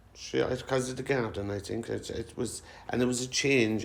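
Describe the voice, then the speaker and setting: Speaking with a Cork accent, a man uses a medium pitch, ordinary pitch variation and a moderate pace. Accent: Cork Irish. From Cork City, Ireland. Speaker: social housing resident. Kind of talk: oral history interview answer.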